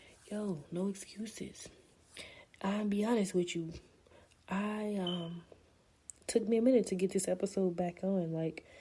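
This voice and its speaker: A woman's dark, mellow, somewhat breathy voice at a medium pitch, fairly slow and fairly even in intonation, with long, frequent pauses. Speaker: podcast host. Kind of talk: casual monologue podcast. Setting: at home.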